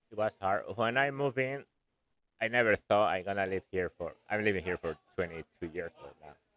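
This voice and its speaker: Speech with a Spanish accent at a moderate pace, with ordinary pitch variation and big swings in loudness. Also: man, fairly low pitch for a man. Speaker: air conditioning contractor. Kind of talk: interview. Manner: halting.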